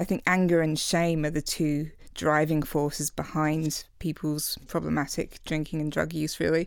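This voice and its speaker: Moderate-paced speech from a woman, on a very clean recording against a silent background. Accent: English. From England. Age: 40s. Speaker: author. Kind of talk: casual chat.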